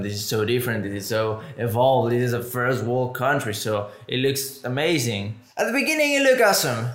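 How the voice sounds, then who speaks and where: This man talks in a Spanish accent at a moderate pace. His pitch varies in an ordinary way. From Mexico. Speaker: podcast host. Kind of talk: casual chat.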